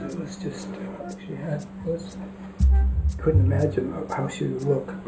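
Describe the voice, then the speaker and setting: Clear music plays in the background as a man speaks at a fairly slow pace. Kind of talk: interview answer. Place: home room.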